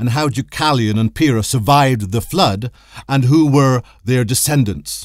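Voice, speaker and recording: On a very clean recording with a silent background, a man with an ordinary speaking voice talks at a moderate pace, medium pitch and ordinary pitch variation. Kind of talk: history documentary narration. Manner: formal, measured; even, authoritative storytelling.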